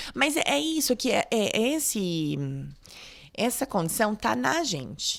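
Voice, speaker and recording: Very slowly, a woman speaks at a fairly high pitch with vocal fry and very wide pitch swings. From Brazil, Catanduva (São Paulo state). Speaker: doctor. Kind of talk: interview.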